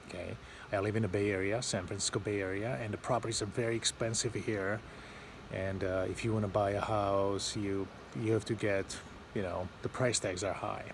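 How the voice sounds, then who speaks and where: A man at a fairly quick pace with monotone, flat intonation. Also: fairly low pitch for a man. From Eastern Europe. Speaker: vlogger. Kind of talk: casual vlog talk to camera. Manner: halting, many fillers.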